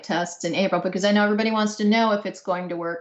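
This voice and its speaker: A woman with an ordinary speaking voice talks at medium pitch with ordinary pitch variation. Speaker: research engineer presenting. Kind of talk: technical Q&A.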